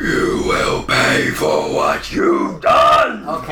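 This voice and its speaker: A man performs a put-on character voice that sounds resonant. There is a slight echo and clear background noise. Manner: menacing, vengeful.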